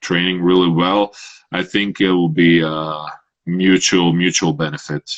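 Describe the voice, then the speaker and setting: A man speaks at a fairly slow pace in a very deep, low voice. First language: Croatian. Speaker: Olympic shot putter. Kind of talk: interview. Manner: halting.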